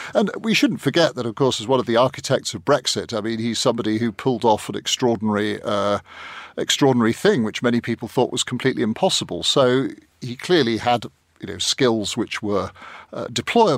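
A man talks at a fairly quick pace and a medium pitch, with ordinary pitch variation. He has an ordinary speaking voice, and the recording is very clean with a silent background. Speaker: journalist. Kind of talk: panel discussion. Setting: studio.

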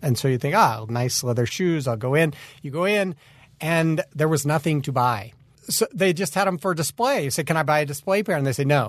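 Against a quiet background, a man with an American accent talks at a fairly quick pace in a fairly high pitch with lively intonation. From Utah, US. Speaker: army veteran. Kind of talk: interview testimony. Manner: halting, repeats words.

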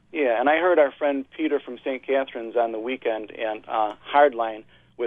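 A man talks at a fairly quick pace with an American accent and medium pitch. He has an unremarkable speaking voice with fairly even intonation. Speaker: caller. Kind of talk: call-in talk radio. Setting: phone call.

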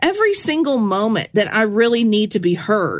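Over noticeable background noise, the speaker talks at a moderate pace with very wide pitch swings. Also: woman. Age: 40s. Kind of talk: devotional teaching monologue. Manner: casual, conversational with filler words.

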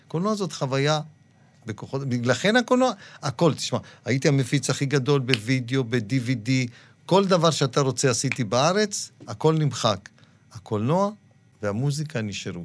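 The speaker pauses often and at length. Their intonation is lively. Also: man, medium pitch for a man, moderate pace. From Israel, Dimona (born Morocco). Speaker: film producer. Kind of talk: interview. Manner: animated.

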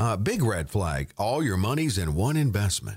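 In a very clean recording with a silent background, a man with a normal speaking voice talks at a moderate pace in a fairly low pitch. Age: 60s. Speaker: radio co-host and announcer. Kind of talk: radio talk show, financial advice. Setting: studio.

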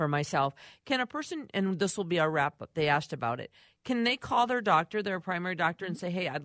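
The background is quiet. A woman's voice comes through dry and close, with no echo. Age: 60s. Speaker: radio host. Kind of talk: talk radio hosting. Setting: radio studio. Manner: animated.

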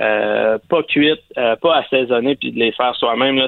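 This man has a plain, everyday voice. He talks at a moderate pace with ordinary pitch variation. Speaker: barbecue columnist. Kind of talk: casual chat.

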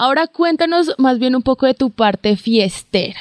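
The sound is dry and close with no echo and a quiet background. A woman speaks high-pitched at a fairly slow pace. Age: 20s. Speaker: podcast host. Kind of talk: casual interview. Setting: in a car.

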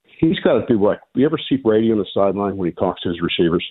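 It is an ordinary speaking voice, a man with fairly low pitch and lively intonation. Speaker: caller. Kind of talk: sports call-in radio. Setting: phone call.

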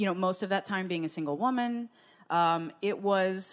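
A woman's normal speaking voice at a medium pitch, with ordinary pitch variation and a moderate pace. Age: 40s. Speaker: musician and speaker. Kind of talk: testimony. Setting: studio with audience.

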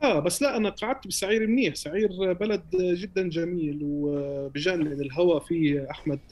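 Here a man speaks at a fairly slow pace, his pitch varying in an ordinary way. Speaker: musician and music producer. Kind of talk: casual interview chat. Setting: Ramallah.

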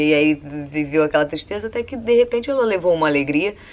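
Fairly quick speech from a woman, noticeable noise in the background. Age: 30s. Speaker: columnist. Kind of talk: personal monologue. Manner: casual, conversational.

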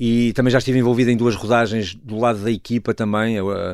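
A man with a fairly low pitch talks at a very fast pace, his intonation fairly even. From northern Portugal, Douro/Porto. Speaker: stage actor and director. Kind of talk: radio interview. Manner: halting.

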